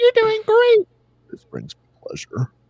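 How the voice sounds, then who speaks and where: An extremely high, squeaky put-on character voice. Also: moderate pace. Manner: menacing, encouraging violence.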